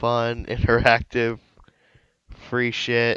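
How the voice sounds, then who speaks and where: A robotic, put-on character voice from a man at medium pitch, with a dry, close sound and no echo. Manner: flat, mechanical, choppy.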